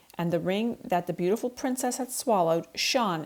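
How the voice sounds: What you hear is a natural reading voice.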